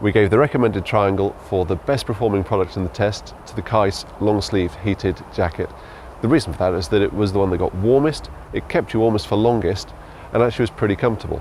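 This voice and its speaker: A man speaks very fast with ordinary pitch variation while noticeable background noise plays behind him. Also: fairly low pitch for a man. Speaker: magazine deputy editor. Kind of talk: interview answer.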